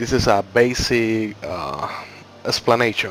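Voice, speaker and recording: Against noticeable background noise, a man with a medium pitch talks at a fairly slow pace. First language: not English. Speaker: gaming YouTuber. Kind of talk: game tutorial. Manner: slightly halting.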